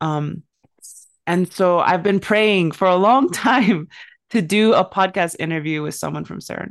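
This woman has an unremarkable speaking voice and an American accent. She talks at a fairly slow pace with ordinary pitch variation. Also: quiet background. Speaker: podcast host. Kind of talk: casual interview.

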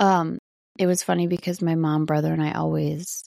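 A woman speaks at a moderate pace with a slight Wisconsin accent. The sound is dry and close, with no echo. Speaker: podcast host, sober living. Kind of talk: casual monologue. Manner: chatty, animated.

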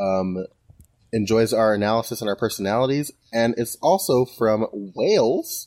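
A man's plain, everyday voice, medium in pitch, with ordinary pitch variation at a moderate pace. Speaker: podcast co-host. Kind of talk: casual chat. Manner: jovial, joking.

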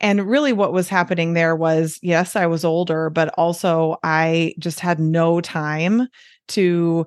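Her voice is fairly low-pitched, with a Midwestern American accent. The woman keeps her intonation fairly even over a quiet background. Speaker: doctor and weight loss coach, author. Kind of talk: interview, explanatory conversation.

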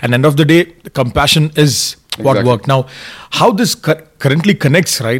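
Fairly quick and somewhat breathy, a man speaks at a fairly high pitch with ordinary pitch variation. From India. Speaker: podcast host, chef. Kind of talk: casual chat.

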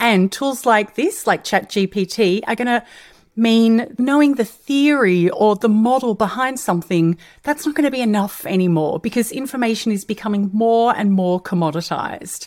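Upbeat and animated, a woman with an Australian accent speaks at a moderate pace with lively intonation and a fairly high pitch. Her loudness stays very even on a very clean recording with a silent background. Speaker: podcast host, change management consultant. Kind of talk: solo podcast talk. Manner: upbeat, animated.

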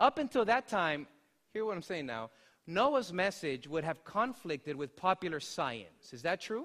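Very wide pitch swings mark this man's animated, warm tone as he talks at a moderate pace, the sound dry and close with no echo on a very clean recording with a silent background. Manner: warm, earnest, conversational, with some hesitations and restarts.

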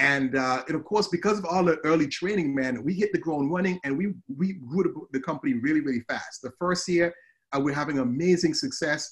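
Speaking at a fairly quick pace with an Antiguan accent, a man uses a high pitch with ordinary pitch variation. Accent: Antiguan Caribbean English. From Antigua, Caribbean. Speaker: social media advertising coach. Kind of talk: interview conversation. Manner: animated.

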